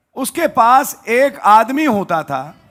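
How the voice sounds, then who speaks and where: This is a man talking. His pitch is extremely high. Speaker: pastor. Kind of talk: sermon. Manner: not loud.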